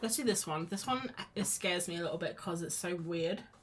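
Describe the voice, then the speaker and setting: A woman with a British accent talks at a fairly quick pace with lively intonation over noticeable background noise. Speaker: art streamer. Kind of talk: casual chat while drawing on a live stream. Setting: live stream. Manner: mumbly at times; chatty, rambling with false starts.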